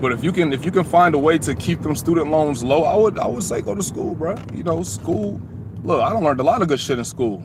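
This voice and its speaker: Very fast speech in an American accent swings very widely in pitch. Noticeable background noise runs throughout. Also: man, fairly high pitch for a man. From Atlanta, US South. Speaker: YouTuber. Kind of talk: live stream chat. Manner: casual.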